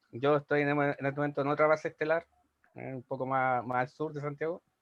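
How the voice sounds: A man talks at a fairly quick pace in a fairly high voice, with little pitch movement.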